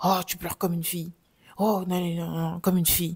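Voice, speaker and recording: This put-on character voice rattles along at a very fast pace, holding a middle pitch with monotone, flat intonation. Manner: belittling, mocking.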